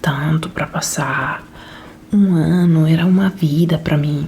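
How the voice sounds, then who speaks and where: Soft-spoken and very slow, the voice keeps a fairly even intonation over noticeable background noise. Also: woman. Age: 30s. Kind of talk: casual talk to camera, relaxed chat. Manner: soft-spoken, slow.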